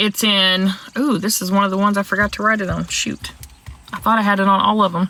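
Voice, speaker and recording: A woman with an American accent speaks at a moderate pace over noticeable background noise. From US South. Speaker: livestream trivia host. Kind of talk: casual livestream Bible trivia. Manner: animated, chatty.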